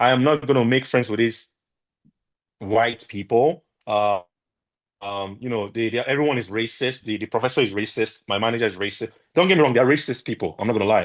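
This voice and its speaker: In an animated tone, a man talks at a fairly quick pace and medium pitch with ordinary pitch variation against a quiet background. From Nigeria. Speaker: entrepreneur, podcast guest. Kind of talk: interview conversation.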